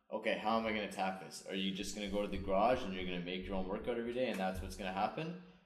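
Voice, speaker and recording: A man with a fairly low pitch talks at a very fast pace with hardly any pauses and ordinary pitch variation. Noticeable background noise and audible room echo are present. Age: 30s. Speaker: podcast host. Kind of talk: show intro and outro; casual chat.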